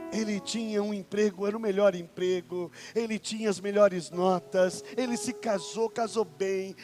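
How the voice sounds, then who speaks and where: A man speaks at a high pitch and a moderate pace. Music plays in the background. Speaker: pastor. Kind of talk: sermon.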